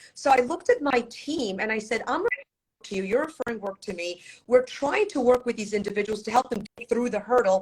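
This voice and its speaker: Her loudness swings widely as she speaks. This woman has a fairly high pitch and ordinary pitch variation. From Poland, raised in US from childhood. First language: Polish. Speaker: divorce attorney. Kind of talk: interview.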